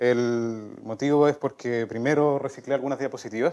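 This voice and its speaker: A man talks with fairly even intonation, and the background is quiet. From southern Chile, La Unión (Los Ríos); Los Ríos, Chile. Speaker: mathematician; speaker. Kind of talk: lecture. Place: hall.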